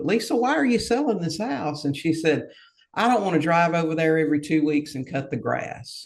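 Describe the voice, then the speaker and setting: An ordinary speaking voice from a man, fairly high in pitch, fairly quick, with lively intonation. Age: 60s. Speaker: real estate investor. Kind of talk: podcast interview.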